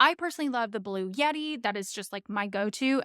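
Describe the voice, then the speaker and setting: A woman at a fairly quick pace with ordinary pitch variation, in a dry, close sound with no echo on a very clean recording with a silent background. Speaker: content creator and marketing coach. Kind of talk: tutorial. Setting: home studio. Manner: loud; casual, filler-heavy.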